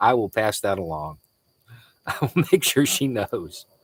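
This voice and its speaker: A medium-pitched man speaks on a very clean recording with a silent background. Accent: American. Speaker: livestream host, former journalist. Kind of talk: live stream chat reading comments. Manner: casual, conversational.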